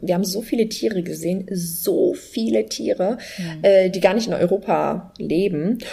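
Here is a woman with a plain, everyday voice. Her pitch is medium and varies in an ordinary way. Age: 30s. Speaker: online entrepreneur, travelling mother. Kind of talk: casual interview chat.

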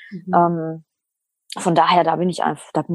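The speaker is a woman with a fairly low pitch. The sound is dry and close, with no echo. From Lower Saxony, Germany. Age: 30s. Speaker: single seeking a partner. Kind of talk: interview. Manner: talkative.

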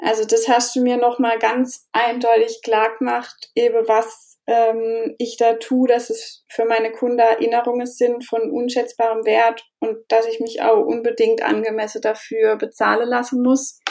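A fairly high-pitched woman at a fairly slow pace, flat and monotone. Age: 20s. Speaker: newborn and family photographer. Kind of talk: interview.

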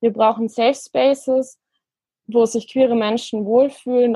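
A woman talks at a fairly slow pace with a fairly high pitch and a plain, everyday voice. The sound is dry and close, with no echo. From rural Germany. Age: 20s. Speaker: city councillor and law student. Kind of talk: interview.

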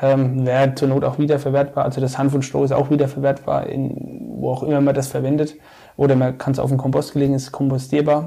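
Somewhat breathy and dark, mellow in tone, a man speaks at a fairly high pitch and a fairly quick pace with monotone, flat intonation. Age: 30s. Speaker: civil engineering project manager and regional marketplace founder. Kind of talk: casual interview.

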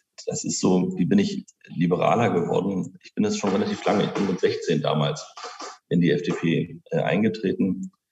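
A man speaks at a fairly slow pace, his loudness swinging widely from soft to loud. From Berlin-Spandau, Germany. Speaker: politician. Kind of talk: interview.

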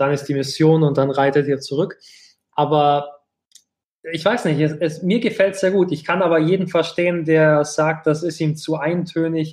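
A man with a fairly high pitch and an ordinary speaking voice, at a moderate pace with fairly even intonation. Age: 30s. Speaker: podcast host. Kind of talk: casual chat.

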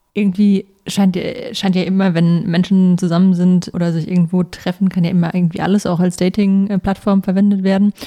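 In a dark, mellow tone, a woman speaks at a fairly quick pace with very even loudness and monotone, flat intonation. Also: medium pitch for a woman. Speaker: podcast co-host, tech journalist. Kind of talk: interview.

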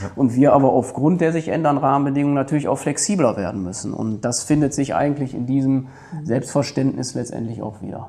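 Very fast male speech at a medium pitch, its pitch varying in an ordinary way. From Germany, Ruhr area (Duisburg). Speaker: head of a city administration office. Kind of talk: podcast interview.

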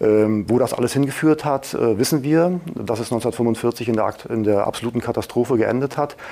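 A man with a dark, mellow tone. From Mecklenburg-Vorpommern, Germany. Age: 40s. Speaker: media regulator director, former radio journalist. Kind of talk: interview.

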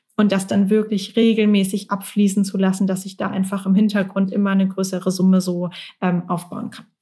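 Somewhat breathy and dark, mellow in tone, a woman speaks at a medium pitch and a fairly quick pace with monotone, flat intonation and big swings in loudness. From Germany, Mannheim. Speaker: career coach. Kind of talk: casual interview.

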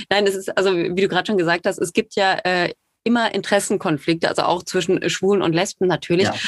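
A woman's medium-pitched voice, very fast and monotone, with flat intonation, very even loudness and a dry, close sound with no echo. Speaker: podcast host. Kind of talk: casual chat.

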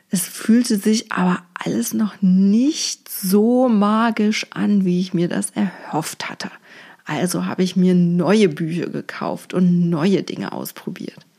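Delivered at a very slow pace, the voice has a warm, dark, mellow tone, sounds somewhat breathy, and shows ordinary pitch variation. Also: woman, medium pitch for a woman. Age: 40s. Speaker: feng shui coach, podcast host. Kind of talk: personal monologue podcast. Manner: warm, conversational.

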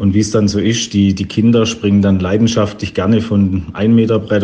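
Over noticeable background noise, a man with a fairly low pitch talks at a moderate pace in fairly even intonation. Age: 40s. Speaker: caller sending a voice message. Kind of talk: recorded voice message anecdote. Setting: recorded voice message.

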